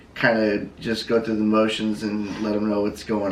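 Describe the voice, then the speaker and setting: Audible room echo surrounds a man with a fairly low pitch. His intonation is monotone and flat, and his pace is moderate. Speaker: vlogger's partner. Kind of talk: casual chat. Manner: halting.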